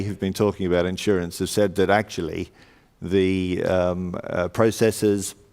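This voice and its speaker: A man talks at a fairly low pitch in an Australian accent. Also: very clean recording, silent background. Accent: Australian twang. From Australia, Sydney. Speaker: panel moderator, insurance consultancy leader. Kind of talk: conference panel introduction. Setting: stage with audience. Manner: hesitant, many fillers.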